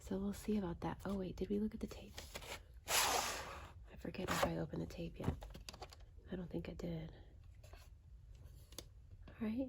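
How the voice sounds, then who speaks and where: Soft-spoken delivery at a moderate pace, broken by long, frequent pauses. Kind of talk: casual ASMR ramble talking to camera.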